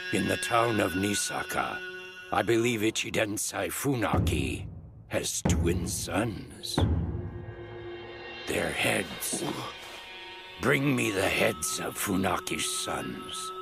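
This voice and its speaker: A man speaks in a put-on character voice at a medium pitch. He goes very slowly over clear background noise. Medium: dub.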